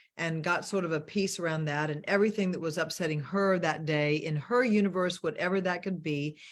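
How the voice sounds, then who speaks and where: A normal speaking voice from a woman with a fairly low pitch and an American accent, fairly quick pace, ordinary pitch variation and hardly any pauses. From US South. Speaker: money mentor and show host. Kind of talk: casual chat. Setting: video call.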